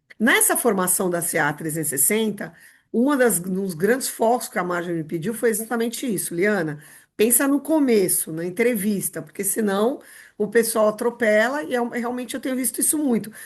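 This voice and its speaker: With lively intonation and a fairly high pitch, a woman talks in an ordinary speaking voice against a quiet background. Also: moderate pace. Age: 60s. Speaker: rehabilitation and inclusion specialist. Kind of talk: podcast interview.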